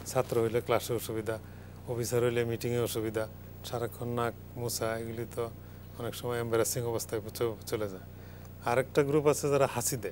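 Over light background noise, a man talks in a monotone, flat intonation at a medium pitch. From Bangladesh. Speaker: medicine professor. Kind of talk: live TV health talk. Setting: studio. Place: studio. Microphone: lapel.

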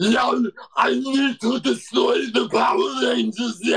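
A man's put-on character voice, extremely high in pitch and delivered at a fairly slow pace. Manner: menacing.

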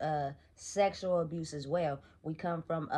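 Using an ordinary speaking voice, a woman talks with fairly even intonation at a fairly low pitch. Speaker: motivational vlogger. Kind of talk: casual vlog chat. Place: home room.

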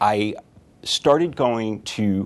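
A man talks in a fairly low voice. His intonation is lively. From Connecticut. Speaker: physician. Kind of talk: self-introduction to camera. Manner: conversational with frequent fillers. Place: office.

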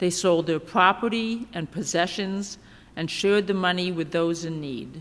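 In a normal speaking voice, a woman talks at a fairly slow pace with fairly even intonation and a fairly low pitch. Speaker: seminary intern preacher. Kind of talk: scripture reading in sermon. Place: church. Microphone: podium.

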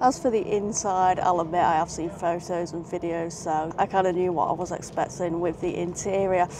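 Amid noticeable background noise, a woman speaks at a moderate pace with fairly even intonation, the sound dry with no echo. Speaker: travel vlogger. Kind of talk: casual vlog chat. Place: train. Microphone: phone near.

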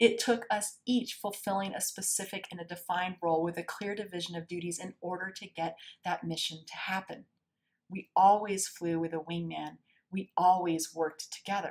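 This woman talks at a moderate pace. Her intonation is fairly even. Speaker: keynote speaker. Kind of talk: presentation talk. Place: home room. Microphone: webcam.

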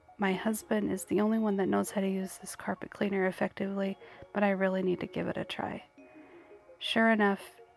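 Soft-spoken and monotone, a woman talks at a fairly quick pace with flat intonation while music plays in the background. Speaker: cleaning vlogger. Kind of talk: voice-over narration of cleaning video. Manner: quiet, soft-spoken.

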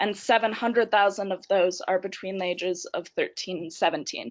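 A woman speaks in an ordinary speaking voice with an American accent, a medium pitch and ordinary pitch variation. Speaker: youth council member, shelter worker. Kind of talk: webinar presentation. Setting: online webinar.

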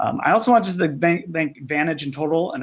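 This man has an unremarkable speaking voice. He talks at a fairly quick pace with ordinary pitch variation. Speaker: retail merchandising executive. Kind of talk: webinar discussion. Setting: phone call.

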